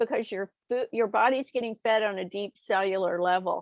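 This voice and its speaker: Against a quiet background, a woman with a normal speaking voice talks at a fairly slow pace with ordinary pitch variation, the sound dry and close with no echo. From Texas. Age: 60s. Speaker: nutritionist and author. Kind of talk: interview.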